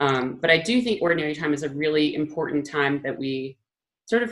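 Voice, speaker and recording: A woman speaks at a fairly quick pace in a very deep, low voice. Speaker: church teacher. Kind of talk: teaching talk. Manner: fast; halting.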